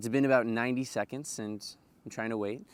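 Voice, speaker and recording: A man speaks at a medium pitch and a fairly quick pace, with ordinary pitch variation. The recording is very clean, with a silent background. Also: dry, close sound with no echo. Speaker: vlogger sharing personal stories; yeshiva student. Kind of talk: personal storytelling monologue. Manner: fast.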